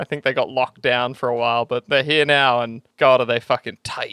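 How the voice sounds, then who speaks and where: A man speaks with an Australian accent. His tone is animated. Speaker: podcast co-host. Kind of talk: casual banter. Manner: animated, joking.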